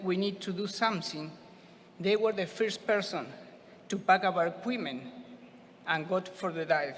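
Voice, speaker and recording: With a Spanish accent, a man speaks at a high pitch with ordinary pitch variation against noticeable background noise. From Argentina. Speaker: scuba diver receiving award. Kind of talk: acceptance speech.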